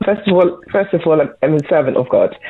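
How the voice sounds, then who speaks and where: A woman speaks with a slight Bristol accent. There is noticeable background noise. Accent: slight Bristol twang. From Bristol, England. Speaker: children's participation coordinator and mental health first aider. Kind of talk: radio interview. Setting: phone call into radio show. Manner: hesitant, many fillers.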